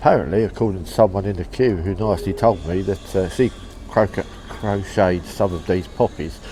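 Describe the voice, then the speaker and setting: Over music in the background, a man with a very deep, low pitch talks at a fairly quick pace with ordinary pitch variation. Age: 60s. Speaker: travel vlogger and postcard collector. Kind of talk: casual vlog commentary. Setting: outdoors on a seaside pier among crowds.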